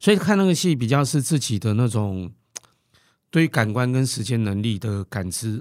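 Moderately paced male speech at a middle pitch, lively in its intonation. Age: 40s. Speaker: theatre curator and drama lecturer. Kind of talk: casual chat. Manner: halting, many fillers.

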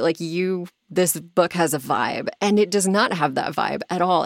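In a normal speaking voice, a woman talks at a fairly slow pace with a fairly low pitch, the sound dry and close with no echo. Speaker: podcast host and audiobook narrator. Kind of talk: casual chat. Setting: home sound booth.

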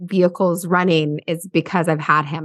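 Fairly even intonation marks an unremarkable speaking voice heard over a quiet background. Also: woman. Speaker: podcast host. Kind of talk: interview intro and conversation.

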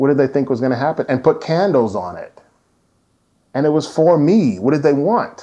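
This man speaks with a fairly high pitch, vocal fry and lively intonation. His pace is moderate. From US Midwest, Indianapolis. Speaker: writer. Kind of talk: interview. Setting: at home.

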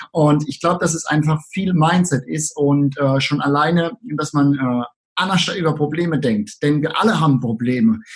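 Somewhat breathy, a man speaks at a moderate pace. His pitch is fairly high with ordinary variation. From Southern Palatinate, Germany. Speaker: online marketing entrepreneur. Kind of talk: interview.

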